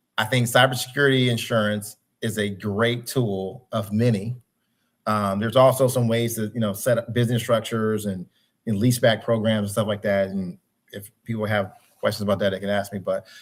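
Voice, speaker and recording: Talking at a fairly quick pace in an unremarkable speaking voice, a man keeps his fairly low pitch in fairly even intonation. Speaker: cybersecurity consultant. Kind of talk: webinar presentation.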